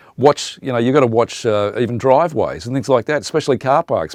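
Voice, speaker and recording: Dry and close with no echo over a quiet background, a man speaks with an Australian accent in a medium pitch and ordinary pitch variation. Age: 60s. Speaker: radio presenter. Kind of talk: interview monologue. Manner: conversational, many fillers.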